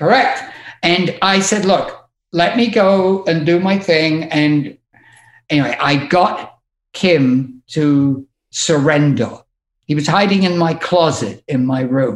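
This man has a high pitch and an English accent. He talks at a very slow pace. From England. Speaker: music tour manager. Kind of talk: casual chat.

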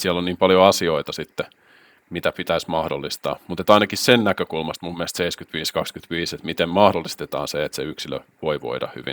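The voice moves at a very fast pace with big swings in loudness and ordinary pitch variation, in a dry, close sound with no echo. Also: man, very deep, low pitch for a man. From Finland, Helsinki capital region (Espoo). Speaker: workplace wellbeing coach and entrepreneur. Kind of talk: casual interview chat.

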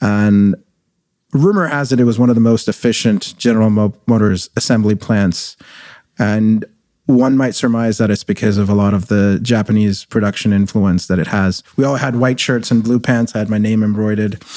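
In a very clean recording with a silent background, a man with a fairly low pitch and a dark, mellow tone speaks at very even loudness with fairly even intonation. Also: moderate pace. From Middle East (Kuwait), born in India. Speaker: tech company CEO. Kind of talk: interview. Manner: conversational.

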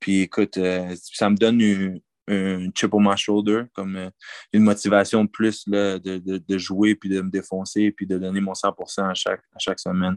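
A man speaks at a fairly slow pace in a flat, monotone delivery with a fairly low pitch. The recording is dry and close with no echo, over a quiet background. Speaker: college football player. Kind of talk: interview. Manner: halting.

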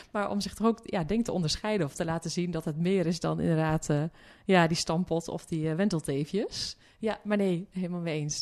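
A woman's fairly quick speech is heard over a quiet background. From Zeeuws-Vlaanderen, Netherlands (Hulst, farm). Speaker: development philosopher and journalist. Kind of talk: interview conversation. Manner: hesitant, many fillers.

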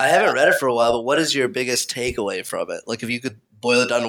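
Speaking with an American accent, a man talks at a medium pitch. His pace is very fast. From Kansas, US. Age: 20s. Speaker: interviewer, friend of host. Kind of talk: casual interview.

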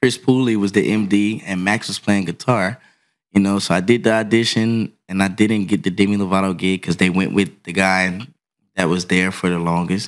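A man with an American accent and an ordinary speaking voice talks at a moderate pace and fairly low pitch with fairly even intonation, on a very clean recording with a silent background. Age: 30s. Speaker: touring drummer. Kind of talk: casual chat. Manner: laughs often.

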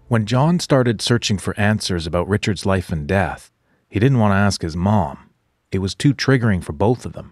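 A man with a plain, everyday voice talks at a moderate pace and a fairly low pitch, with lively intonation and a dry, close sound with no echo. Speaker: podcast host narrator. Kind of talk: scripted narration.

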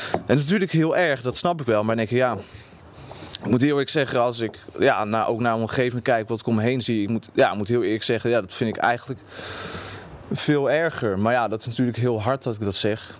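With noticeable background noise behind him, a man speaks very fast at a medium pitch with ordinary pitch variation. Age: 20s. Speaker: university student. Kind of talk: interview. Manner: halting, many repetitions.

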